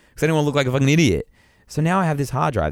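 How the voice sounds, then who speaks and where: A man talks with audible vocal fry. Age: 30s. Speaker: podcast co-host. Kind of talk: casual chat.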